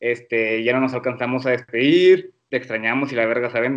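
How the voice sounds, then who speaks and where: A man at medium pitch with a normal speaking voice, at a moderate pace. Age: 20s. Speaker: medical student. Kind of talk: casual chat.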